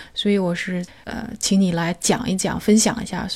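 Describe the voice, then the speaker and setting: A woman with a medium-pitched, somewhat breathy voice and a dark, mellow tone speaks with fairly even intonation. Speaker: podcast host. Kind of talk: interview.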